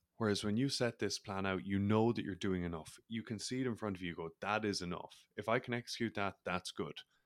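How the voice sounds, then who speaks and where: In an Irish accent, a man speaks in a fairly low pitch at a very fast pace with hardly any pauses. The recording is very clean, with a silent background. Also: ordinary pitch variation, dry, close sound with no echo. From Ireland. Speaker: mindset coach and former rugby player. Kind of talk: casual interview.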